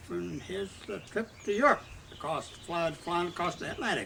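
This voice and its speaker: At a moderate pace, a man talks while noticeable background noise carries on behind him. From US Midwest, Southwest Missouri. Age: 90s. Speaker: retired Coast Guard officer. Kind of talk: oral history interview. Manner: halting, many fillers.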